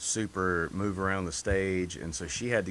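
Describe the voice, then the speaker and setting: This man talks with a Southern US accent. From North Carolina. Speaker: singer. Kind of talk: interview. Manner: monotone.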